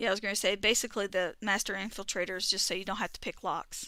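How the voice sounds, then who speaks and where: A woman speaks very fast in a strong Southern US accent, her pitch medium and her tone bright and sharp. The recording is very clean, with a silent background. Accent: thick southern. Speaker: gaming streamer. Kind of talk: casual chat. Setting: live stream. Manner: words run together.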